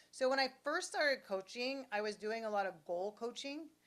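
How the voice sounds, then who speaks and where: A woman's unremarkable speaking voice at a moderate pace, with ordinary pitch variation. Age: 60s. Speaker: business coach. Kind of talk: interview.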